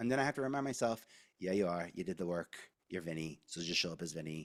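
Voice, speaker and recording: Speaking with a New York accent, a man with a very deep, low pitch talks at a very fast pace in an animated tone with lively intonation. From New York, Staten Island. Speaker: media advisor. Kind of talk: candid interview conversation. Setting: podcast recording. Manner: animated, expressive intonation; halting, many restarts.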